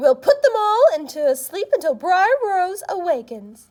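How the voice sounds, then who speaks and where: A woman uses a put-on character voice pitched extremely high, with very wide swings in pitch. She talks at a moderate pace. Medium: read story.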